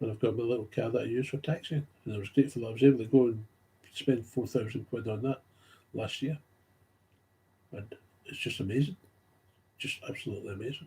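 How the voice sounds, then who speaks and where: With a strong Glaswegian accent, a man speaks at a very fast pace yet with long, frequent pauses, his somewhat breathy, medium-pitched voice showing ordinary pitch variation and big swings in loudness. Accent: Glasgow accent, strong. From Scotland, Glasgow. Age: 60s. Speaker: recovering alcoholic vlogger. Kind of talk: personal monologue. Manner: rambling, hesitant.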